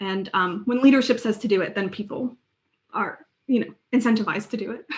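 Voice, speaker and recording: Somewhat breathy and fairly high in pitch, a woman speaks at a fairly quick pace with fairly even intonation. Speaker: UX design lead, conference speaker. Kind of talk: conference Q&A.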